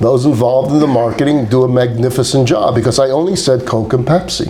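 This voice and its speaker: The speech moves at a fairly quick pace with ordinary pitch variation, over noticeable background noise and audible room echo. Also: man. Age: 60s. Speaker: rabbi teaching a class. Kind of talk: lecture. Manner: animated.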